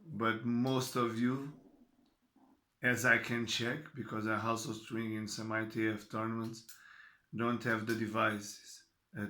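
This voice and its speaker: With a Portuguese accent, a man speaks in a fairly low pitch at a fairly slow pace. His intonation is monotone and flat, and audible room echo surrounds him. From Portugal. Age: 40s. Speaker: tennis coach. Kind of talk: talk to camera. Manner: halting.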